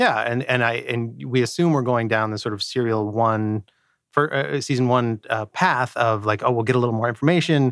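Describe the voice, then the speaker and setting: A plain, everyday voice at a fairly quick pace. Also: man, medium pitch for a man, ordinary pitch variation, very clean recording, silent background. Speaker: podcast co-host. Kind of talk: casual chat.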